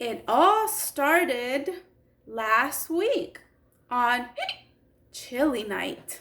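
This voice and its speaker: Using a put-on character voice pitched high, a woman speaks at a very slow pace with long, frequent pauses. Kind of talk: children's story time. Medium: read story. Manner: chatty, expressive.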